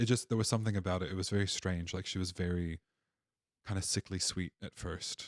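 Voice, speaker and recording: Someone with an American accent talks at a fairly quick pace with fairly even intonation, in a very clean recording with a silent background. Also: man, very deep, low pitch for a man. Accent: American, noticeable to Australians. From Appalachia, Virginia, USA. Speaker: podcast guest. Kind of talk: casual interview storytelling. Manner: conversational with hesitations and restarts.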